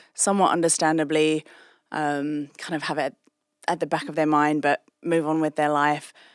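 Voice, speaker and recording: A woman with a British accent speaks at a moderate pace in a very deep, low pitch with monotone, flat intonation, on a very clean recording with a silent background and a dry, close sound with no echo. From England. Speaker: anti-trafficking charity executive. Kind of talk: interview.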